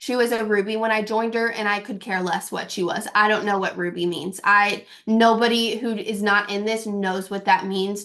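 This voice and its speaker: A woman with a fairly high pitch speaks at a moderate pace with fairly even intonation. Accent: slight Kentucky. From Kentucky. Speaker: network marketing distributor. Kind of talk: team call talk. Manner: casual, filler-heavy.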